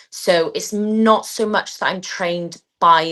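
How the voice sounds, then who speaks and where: A woman talks with a slight Welsh accent in a bright, sharp tone. Her pace is very slow, and the background is quiet. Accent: slight Welsh twang. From Wales. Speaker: athlete and PE teacher. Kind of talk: interview.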